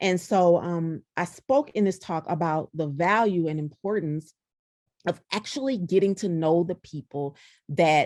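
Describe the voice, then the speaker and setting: With an American accent, a woman talks at a fairly slow pace in a medium pitch, her intonation lively. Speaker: diversity speaker and consultant. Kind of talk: podcast interview.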